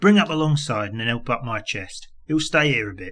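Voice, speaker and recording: A man puts on a gruff, raspy character voice at medium pitch, his pitch swinging very widely. He keeps a moderate pace on a very clean recording with a silent background. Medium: read story. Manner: coarse, gruff, commanding.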